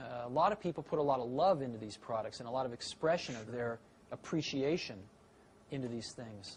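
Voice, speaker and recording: With an unremarkable speaking voice and an American accent, a man talks at a fairly quick pace with lively intonation, a medium pitch and big swings in loudness. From San Francisco, California. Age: 40s. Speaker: tech entrepreneur. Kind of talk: interview answer.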